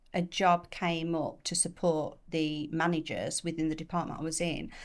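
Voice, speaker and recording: The recording is very clean, with a silent background. A woman speaks at a moderate pace in a fairly low, flat monotone. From England, Chesterfield (Derbyshire). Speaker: commercial property finance professional. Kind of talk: podcast interview.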